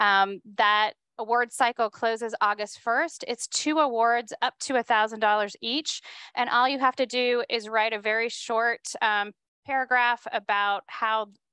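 In a quiet background with a dry sound and no echo, a woman speaks at a fairly slow pace with a bright, sharp tone and fairly even intonation. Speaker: event host. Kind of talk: event welcome speech. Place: hall. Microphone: handheld.

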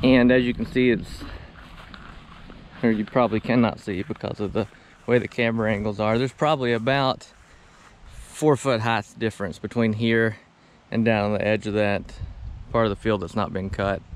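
A man at a moderate pace with fairly even intonation and long, frequent pauses, dry with no echo over light background noise. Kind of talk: casual vlog chat. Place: open country. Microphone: camera far.

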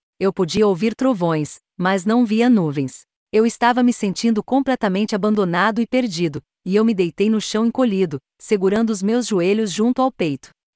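A woman's ordinary speaking voice, fairly high in pitch with ordinary pitch variation and very even loudness, at a moderate pace, dry and close with no echo against a quiet background. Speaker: horror story narrator. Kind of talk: scripted horror story narration, first-person ghost tale.

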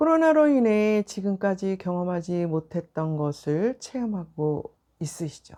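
At a fairly slow pace, a woman speaks in a dark, mellow tone at medium pitch. Her pitch swings very widely. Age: 60s. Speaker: vlogger giving life reflections. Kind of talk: personal monologue to camera. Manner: reflective, with frequent filler pauses.

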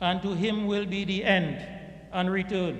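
A man speaks at a high pitch in a monotone, flat delivery. Room echo is audible. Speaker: imam. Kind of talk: sermon. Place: church. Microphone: podium.

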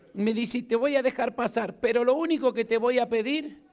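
Against a quiet background, a man with an Argentine accent talks at an extremely high pitch and a fairly slow pace. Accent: Argentine Spanish, noticeable. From Argentina. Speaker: pastor. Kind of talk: sermon. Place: church. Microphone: handheld.

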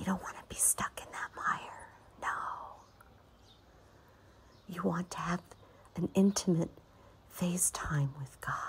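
Whispering at a fairly slow pace, a woman leaves long, frequent pauses and shows big swings in loudness. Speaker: meditation guide. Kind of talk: prophetic meditation. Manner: soft-spoken.

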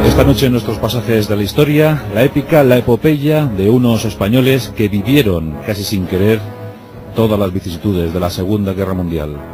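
Clear music plays in the background as the voice moves at a moderate pace with lively intonation. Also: man, fairly low pitch for a man. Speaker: radio host and narrator. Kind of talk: radio documentary narration. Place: studio. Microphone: studio mic.

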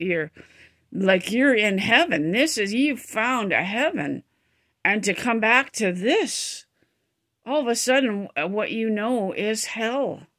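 A woman speaks very slowly with lively intonation. The background is quiet. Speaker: vlogger. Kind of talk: casual vlog chat. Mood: emotional, reflective storytelling. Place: home room. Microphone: phone near.

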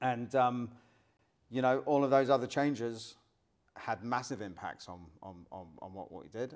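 This man talks at a fairly slow pace. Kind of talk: interview answer. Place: studio.

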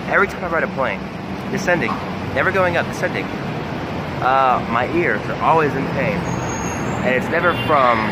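Loud background noise surrounds a man speaking at a moderate pace with ordinary pitch variation. He takes long, frequent pauses. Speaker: vlogger. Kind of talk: casual vlog chat. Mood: annoyed, complaining. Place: street. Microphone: phone near.

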